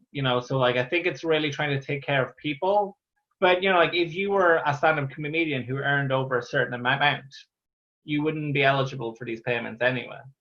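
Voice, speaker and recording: The speaker talks at a fairly quick pace in an Irish accent with ordinary pitch variation. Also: man, fairly high pitch for a man. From Ireland. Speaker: stand-up comedian. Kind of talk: interview answer. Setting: video call. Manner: stammers.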